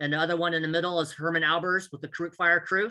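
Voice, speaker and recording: A man with an American accent talks at a very fast pace in a high, bright, sharp voice. His intonation is fairly even against a quiet background. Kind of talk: conference presentation.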